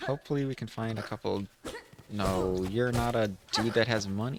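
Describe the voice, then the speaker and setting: Over music in the background, a man speaks at a moderate pace with a fairly low pitch and ordinary pitch variation. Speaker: gaming streamer. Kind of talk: let's play commentary. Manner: soft-spoken; casual, animated. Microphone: voice too quiet on mic.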